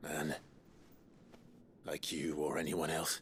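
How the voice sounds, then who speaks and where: A man performs a put-on character voice that is raspy and very deep in pitch. His tone is calm, with clear background noise behind him. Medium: video game. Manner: calm, measured.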